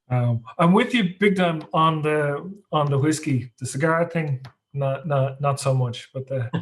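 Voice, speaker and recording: A man in a western Irish accent speaks somewhat breathily at a fairly slow pace, his fairly high pitch showing ordinary variation. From west of Ireland. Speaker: workshop participant. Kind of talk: casual chat. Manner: halting, repeats words.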